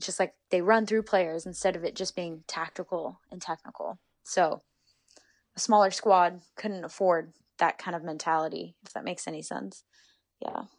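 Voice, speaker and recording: The speaker talks at a moderate pace with an American accent, vocal fry and fairly even intonation, while the loudness swings widely. The recording is very clean, with a silent background. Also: woman, fairly low pitch for a woman. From US West Coast, Northern California Bay Area. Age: 20s. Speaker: professional footballer. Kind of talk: casual interview.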